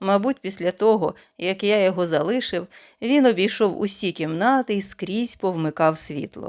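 Simply plain reading aloud.

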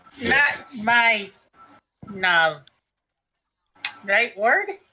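Someone mumbles in a put-on character voice. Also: female-sounding voice, fairly high pitch for a woman. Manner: halting, mumbling, simple words.

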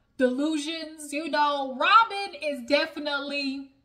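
In a raised, projected voice, a woman speaks with a bright, sharp tone. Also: quiet background. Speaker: reality TV review vlogger. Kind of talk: casual vlog chat. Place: home room. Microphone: phone near.

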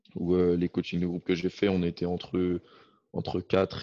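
Against a quiet background, a man speaks in a very deep, low pitch with a dark, mellow tone and monotone, flat intonation. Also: dry sound with no echo. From France. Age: 20s. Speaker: football player and student. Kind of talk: casual interview. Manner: hesitant, with many repetitions. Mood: calm, reflective. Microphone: video call.

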